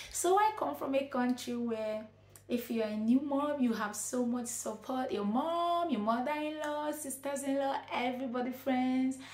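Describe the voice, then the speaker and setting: At a moderate pace, a woman talks at a high pitch with audible room echo. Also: ordinary pitch variation. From Nigeria. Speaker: vlogger, nurse and midwife. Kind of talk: advice vlog. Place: home room.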